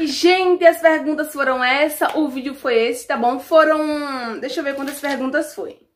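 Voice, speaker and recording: A woman talks at a moderate pace with hardly any pauses, her voice pitched high. Her loudness swings widely, while her pitch variation is ordinary. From Alagoas, Brazil. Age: 20s. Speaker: YouTuber. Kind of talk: casual Q&A vlog. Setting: at home. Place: home room. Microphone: phone near.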